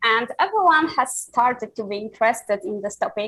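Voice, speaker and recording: With a non-native accent, a woman speaks at a fairly high pitch on a very clean recording with a silent background. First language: not English. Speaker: crypto analyst. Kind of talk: live presentation. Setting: live stream. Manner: halting, many fillers.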